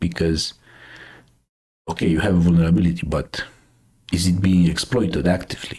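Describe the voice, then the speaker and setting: Speaking in a Romanian accent, a man has a very deep, low pitch. His voice is somewhat breathy. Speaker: cybersecurity news streamer. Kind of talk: casual live stream commentary. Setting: live stream. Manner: hesitant, many fillers.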